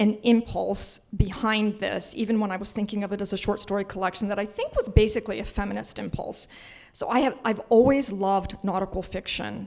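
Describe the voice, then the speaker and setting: A woman with vocal fry, fairly quick pace and fairly even intonation. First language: not English. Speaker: novelist. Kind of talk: panel discussion.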